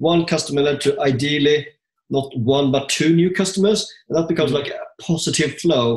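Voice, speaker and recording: Talking at a fairly quick pace, a man with a fairly high, somewhat breathy voice uses ordinary pitch variation. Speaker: podcast co-host, property investor. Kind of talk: casual interview.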